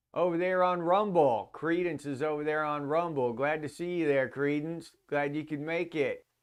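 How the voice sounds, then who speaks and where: With an ordinary speaking voice, a man talks at a moderate pace and fairly high pitch with fairly even intonation and hardly any pauses, over a quiet background. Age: 50s. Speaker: livestream host. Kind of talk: casual chat. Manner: casual, loose and profane.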